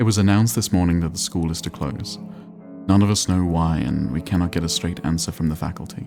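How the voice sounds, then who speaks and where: With music in the background, the speaker talks at a fairly quick pace with lively intonation. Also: man. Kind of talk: calm gameplay narration for sleep.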